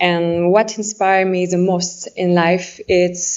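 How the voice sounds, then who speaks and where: A woman speaks very slowly in a French accent. Her pitch is fairly low. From France. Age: 20s. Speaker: pageant contestant. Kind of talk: competition speech. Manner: halting.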